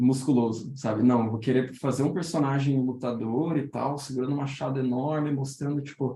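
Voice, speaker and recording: This man's voice has a fairly high pitch and a dark, mellow tone. He is somewhat breathy and moves at a moderate pace. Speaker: illustrator teaching a workshop. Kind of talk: online workshop talk. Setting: Discord voice call. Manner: halting, many repetitions.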